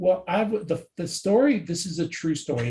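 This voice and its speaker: An American accent marks this man's somewhat breathy voice, which has a dark, mellow tone. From New Jersey. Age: 60s. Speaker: sports card database expert. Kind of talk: casual interview.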